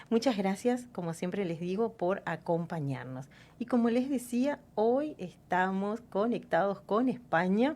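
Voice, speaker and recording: A woman speaks at medium pitch in a dark, mellow tone. Her pace is fairly slow, with very wide pitch swings. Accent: Uruguayan. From Uruguay. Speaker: radio host. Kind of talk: radio interview. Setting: radio studio.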